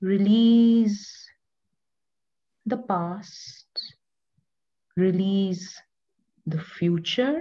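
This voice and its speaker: Soft-spoken woman, somewhat breathy and dark, mellow in tone, with ordinary pitch variation, a very slow pace, and long, frequent pauses. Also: medium pitch for a woman. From India. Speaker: yoga teacher. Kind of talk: guided meditation.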